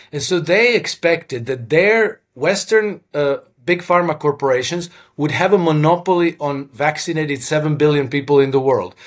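A fairly high-pitched man with a Croatian accent speaks at a moderate pace with ordinary pitch variation. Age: 50s. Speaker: former hedge fund manager and author. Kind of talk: interview. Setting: video call.

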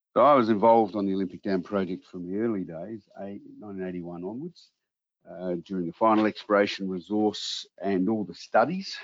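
In an Australian accent, a man with a very deep, low pitch talks at a fairly quick pace with fairly even intonation. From Australia, Adelaide. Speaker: mining company executive. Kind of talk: interview.

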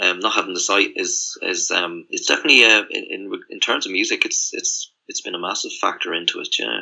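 Talking at a fairly quick pace with hardly any pauses, a man speaks in a rural Irish accent. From rural Ireland. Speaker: musician. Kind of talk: casual chat. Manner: halting.

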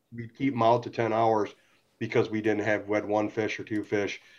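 Speaking at a moderate pace with an American accent, the man is heard against a quiet background. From Michigan, St. Clair Shores (Detroit area). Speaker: fishing charter guide. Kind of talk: casual chat.

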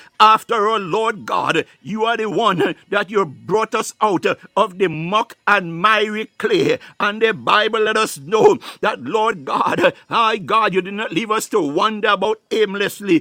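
A man speaks in a raised, projected voice at a high pitch and a fairly slow pace. The sound is dry and close, with no echo. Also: ordinary pitch variation. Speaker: prayer leader. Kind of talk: fervent prayer with speaking in tongues, devotional. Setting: online live prayer broadcast. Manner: fervent, rhythmic, pleading, repetitive.

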